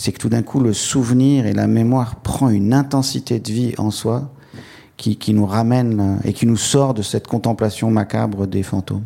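Fairly even intonation and a moderate pace from a man with a medium-pitched voice. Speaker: writer. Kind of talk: public talk. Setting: stage with audience. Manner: halting.

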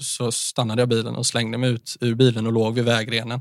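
A man talks at a medium pitch and a moderate pace. He has an ordinary speaking voice. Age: 20s. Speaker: mental health speaker. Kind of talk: casual interview, personal testimony.

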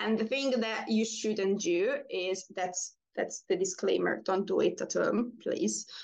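A woman with a non-native accent, at a fairly slow pace and very even loudness. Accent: foreign-accented English. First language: not English. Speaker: pole dancer. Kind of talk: interview.

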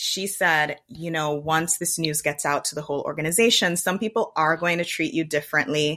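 Talking at a moderate pace with hardly any pauses, a woman with a slight Jamaican accent has a very deep, low pitch, a bright, sharp tone and ordinary pitch variation. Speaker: podcast host. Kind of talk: casual chat.

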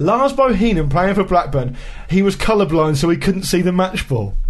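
Noticeable background noise sits behind a man with a British accent. He speaks at a fairly quick pace with a high pitch for a man. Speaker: football podcast co-host. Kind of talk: casual chat.

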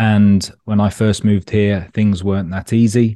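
A man's fairly low, dark, mellow voice with a London accent, at a fairly slow pace over a quiet background. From London, England. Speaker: startup founder. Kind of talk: interview. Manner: casual, relaxed.

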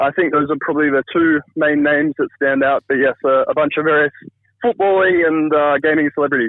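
A man talks at a fairly quick pace in a plain, everyday voice pitched fairly high. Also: fairly even intonation, very even loudness. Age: 30s. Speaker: viral social media user. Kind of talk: storytelling. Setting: phone call.

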